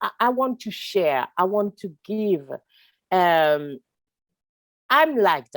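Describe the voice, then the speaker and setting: On a very clean recording with a silent background, a woman speaks very slowly with very wide pitch swings and long, frequent pauses. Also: medium pitch for a woman, dry, close sound with no echo. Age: 40s. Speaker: sound artist and activist. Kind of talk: interview conversation. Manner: halting.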